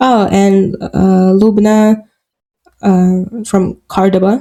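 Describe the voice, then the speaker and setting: A woman with a Russian accent speaks very slowly in a medium pitch. Her tone is dark and mellow, with monotone, flat intonation. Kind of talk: podcast interview. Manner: halting, many fillers.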